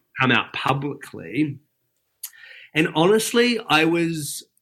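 With a bright, sharp tone and very wide pitch swings, a man speaks at a very slow pace. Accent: New Zealand. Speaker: breakfast TV weather presenter. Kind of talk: casual chat.

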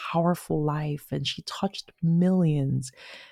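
A woman with a very deep, low pitch talks at a moderate pace in a somewhat breathy voice, her intonation fairly even and the sound dry and close with no echo. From Nigeria. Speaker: author. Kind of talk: interview with a reading from her memoir. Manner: chatty, laughs often.

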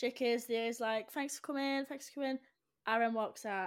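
In a very clean recording with a silent background, a woman speaks in a plain, everyday voice at a fairly high pitch with fairly even intonation. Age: 20s. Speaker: podcast co-host, university student. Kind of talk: casual chat.

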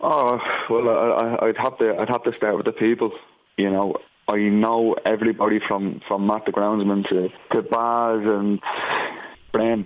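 A man with an Irish accent speaks at a fairly slow pace with long, frequent pauses. His intonation is monotone and flat. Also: medium pitch for a man. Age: 30s. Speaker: footballer. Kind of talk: interview. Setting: phone call.

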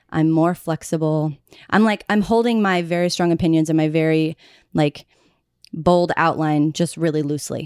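With an American accent and an ordinary speaking voice, a woman talks at a moderate pace and fairly low pitch, her intonation fairly even and her loudness very even, in a very clean recording with a silent background. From Oklahoma, US. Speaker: friend of the hosts. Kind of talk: casual chat. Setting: studio apartment.

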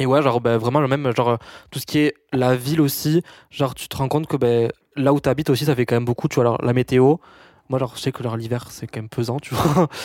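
A man's very fast speech at a medium pitch with fairly even intonation, on a very clean recording with a silent background and a dry, close sound with no echo. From rural France. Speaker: business student and influencer. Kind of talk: casual chat.

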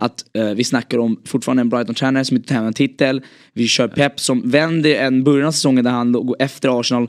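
Talking at a very fast pace, a man with a medium pitch keeps a fairly even intonation, the sound dry and close with no echo on a very clean recording with a silent background. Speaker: football podcast host. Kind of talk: casual chat.

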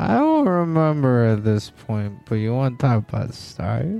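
Someone performs a put-on character voice at a low-to-middle pitch. The pace is moderate, with faint music in the background.

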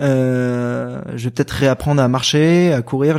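A dark, mellow tone marks this man's speech. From Paris region, Val-de-Marne. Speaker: ultra trail runner. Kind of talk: podcast interview. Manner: animated.

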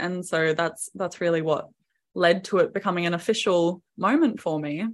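A woman with an Australian accent, fairly low in pitch, at a moderate pace over a quiet background. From Queensland, Australia. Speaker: singer-songwriter and videographer. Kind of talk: interview.

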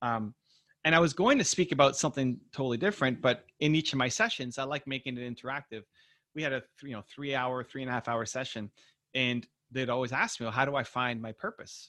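Talking at a very fast pace, the man has a bright, sharp tone, medium pitch and ordinary pitch variation. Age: 40s. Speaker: entrepreneur and author. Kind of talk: interview.

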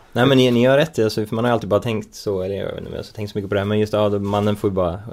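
Very fast delivery from a man with a fairly low pitch and fairly even intonation, over noticeable background noise. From Sweden. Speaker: podcast co-host. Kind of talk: casual chat. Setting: studio.

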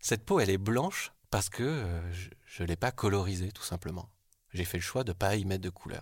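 Moderate pace, ordinary pitch variation and a somewhat breathy quality, in a very clean recording with a silent background. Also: man, very deep, low pitch for a man. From southwestern France (Bergerac). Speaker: art director. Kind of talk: personal testimony. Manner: hesitant, with fillers.

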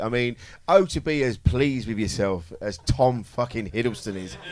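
Speaking with a British accent, a man uses a medium pitch and lively intonation. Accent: regional British. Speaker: comedian, comedy panel show regular. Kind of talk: live comedy panel show banter. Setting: stage with audience. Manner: animated.

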